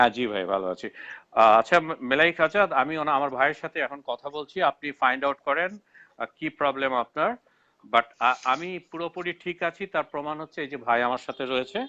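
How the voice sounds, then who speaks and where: The voice has a bright, sharp tone, with dry, close sound, no echo and a quiet background. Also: man, fairly high pitch for a man. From Bangladesh. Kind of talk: live online debate. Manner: halting, with frequent self-corrections.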